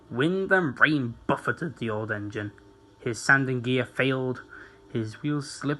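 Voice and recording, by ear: Someone is reading aloud in a natural voice. The text comes through as read.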